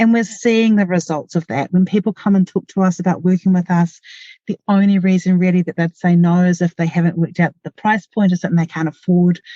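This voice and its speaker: At a very fast pace, a woman with a New Zealand accent speaks in a fairly low, dark, mellow, somewhat breathy voice with fairly even intonation, recorded dry and close with no echo. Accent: New Zealand (Kiwi). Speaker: marketing podcast host, small business owner. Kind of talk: solo podcast tutorial. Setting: in a parked car in a garage.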